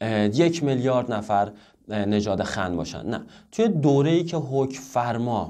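At a fairly slow pace, a man with a medium-pitched voice and a dark, mellow tone uses lively intonation against a quiet background. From Iran. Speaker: Chinese language teacher. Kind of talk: tutorial. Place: home room.

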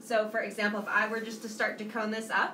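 Audible room echo surrounds a woman talking at a fairly quick pace. Light background noise runs underneath. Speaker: ceramics teacher. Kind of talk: live-stream tutorial. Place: studio. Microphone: phone near.

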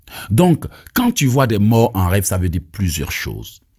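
A man with an Ivorian accent speaks at a very slow pace in a fairly low, somewhat breathy voice with a dark, mellow tone and very wide pitch swings, captured in a very clean recording with a silent background. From Ivory Coast. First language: Abé (speaking French). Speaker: evangelist preacher. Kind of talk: sermon and teaching with prayers.

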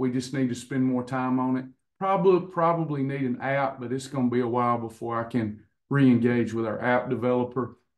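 Quiet surroundings, a man's moderately paced speech, intonation fairly even. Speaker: coach hosting online class. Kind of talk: casual talk to class. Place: office. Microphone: video call.

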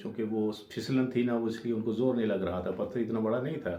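In a room with audible echo, a man talks with a fairly low pitch and monotone, flat intonation. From Jammu and Kashmir, Rajouri. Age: 50s. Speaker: storyteller. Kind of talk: personal testimony.

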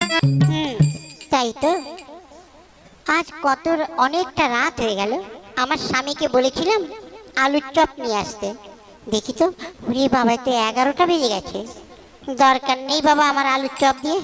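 Using a cartoonish character voice, a woman speaks at a moderate pace in a high pitch. Her intonation is lively. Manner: scolding, brisk.

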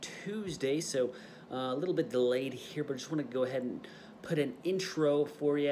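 There is light background noise behind a man. He talks at a moderate pace with lively intonation. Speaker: fitness vlogger. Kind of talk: casual vlog chat. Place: home room. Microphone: phone near.

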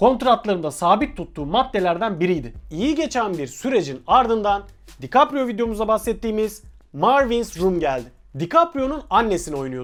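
A man's high voice with very wide pitch swings on a very clean recording with a silent background. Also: moderate pace. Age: 30s. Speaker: film channel presenter. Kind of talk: scripted narration.

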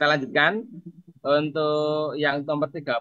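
Against a quiet background, a man with a fairly high voice speaks at a very slow pace. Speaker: teacher. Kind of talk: online tutorial session.

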